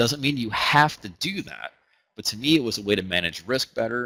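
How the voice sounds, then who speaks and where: At a fairly quick pace, a man speaks at a fairly low pitch in a bright, sharp tone with ordinary pitch variation. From US South, Huntsville, Alabama. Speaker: trading educator. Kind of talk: webinar presentation. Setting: online webinar. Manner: casual, conversational with fillers.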